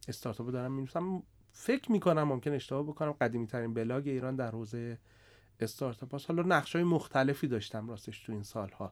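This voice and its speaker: A man at medium pitch with ordinary pitch variation, talking at a very fast pace in a very clean recording with a silent background. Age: 40s. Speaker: startup CEO and investor. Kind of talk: podcast interview.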